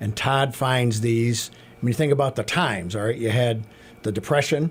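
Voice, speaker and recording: A man's somewhat breathy voice, medium in pitch, with ordinary pitch variation and a fairly quick pace. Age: 60s. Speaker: carousel maintenance mechanic. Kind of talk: radio interview.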